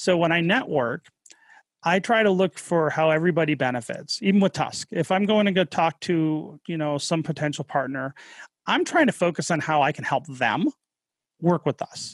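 A speaker with an American accent talks at a moderate pace with ordinary pitch variation. The recording is very clean and dry, close with no echo and a silent background. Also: man, high pitch for a man. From US Midwest, Detroit area, Michigan. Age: 40s. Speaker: cryptocurrency entrepreneur. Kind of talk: podcast interview.

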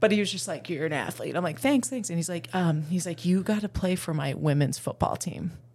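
A woman talks with lively intonation at a fairly low pitch. Her voice is somewhat breathy. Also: fairly quick pace, hardly any pauses. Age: 30s. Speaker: PE teacher and semi-pro football player. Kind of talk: casual chat.

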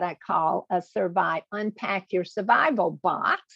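Vocal fry marks this fairly slow delivery in a Southern US accent. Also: woman. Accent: southern US drawl. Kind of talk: interview.

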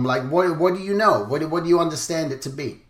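A man speaks over noticeable background noise. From England. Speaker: podcast host, character designer. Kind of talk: interview.

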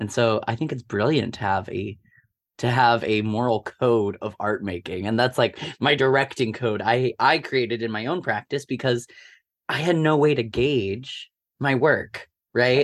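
In a very clean recording with a silent background and a dry, close sound without echo, a man with an American accent speaks at medium pitch with ordinary variation. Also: fairly slow pace. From US Midwest, Omaha, Nebraska. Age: 20s. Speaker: theatre director. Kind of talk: casual interview.

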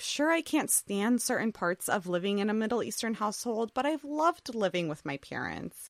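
An ordinary speaking voice from a woman with an American accent, fairly high in pitch with lively intonation, at a moderate pace, in a dry, close sound with no echo. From US, Assyrian family from Iraq. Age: 20s. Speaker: podcast host. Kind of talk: monologue.

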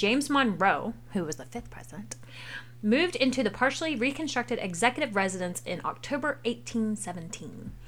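Speaking at a fairly quick pace in an American accent, a woman with vocal fry and a fairly high pitch makes very wide pitch swings and big swings in loudness. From US South. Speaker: parent hosting a family history podcast. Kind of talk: casual educational chat for children.

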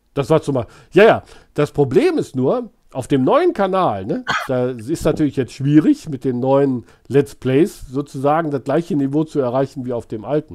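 At a moderate pace, a man speaks in an animated tone with ordinary pitch variation, in a very clean recording with a silent background. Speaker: YouTube streamer baiting phone scammers. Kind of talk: casual live stream chat.

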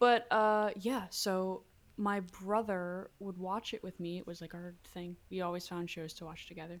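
A woman with a Pennsylvania accent speaks at a moderate pace with fairly even intonation and big swings in loudness, in a very clean recording with a silent background. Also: medium pitch for a woman. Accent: American (Pennsylvania). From Lancaster, Pennsylvania, US. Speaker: singer-songwriter. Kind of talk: interview.

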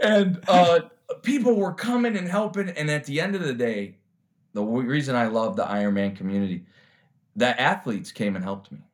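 Speaking with an American accent, a man uses a fairly high pitch with very wide pitch swings. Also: fairly quick pace. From Chicago, US Midwest. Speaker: recovering addict and triathlete. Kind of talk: interview testimony.

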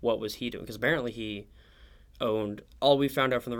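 A man with an American accent uses a plain, everyday voice, medium in pitch with ordinary pitch variation. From Oklahoma City. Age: young. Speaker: history student. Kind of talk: interview. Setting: studio on campus.

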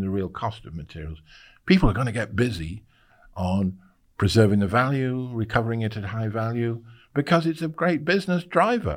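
A man's medium-pitched voice with a British accent, at a moderate pace, on a very clean recording with a silent background. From UK. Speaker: circular economy expert and visiting university fellow. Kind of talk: interview.

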